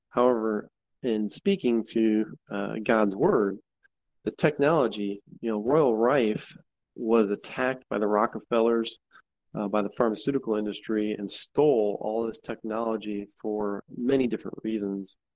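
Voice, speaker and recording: An unremarkable speaking voice from a man, medium in pitch, at a moderate pace with fairly even intonation, in a dry, close sound with no echo. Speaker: caller. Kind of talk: casual call-in comment. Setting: video call.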